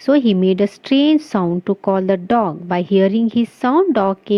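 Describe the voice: The text is read aloud plainly. Its intonation stays lively.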